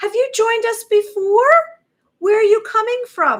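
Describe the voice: Using a put-on character voice, a woman speaks in a squeaky, extremely high pitch with ordinary pitch variation at a moderate pace.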